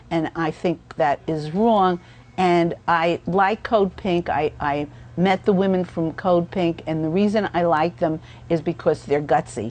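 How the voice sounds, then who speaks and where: A woman talks at a fairly slow pace, her fairly low voice showing ordinary pitch variation. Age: 60s. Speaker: activist. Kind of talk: interview monologue. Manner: halting with many fillers.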